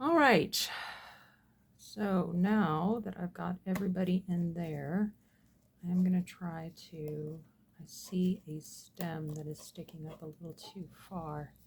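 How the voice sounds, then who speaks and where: A woman speaks with a fairly low pitch and a somewhat breathy voice, leaving long, frequent pauses. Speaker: resin crafter. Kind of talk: tutorial. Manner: casual, rambling with fillers.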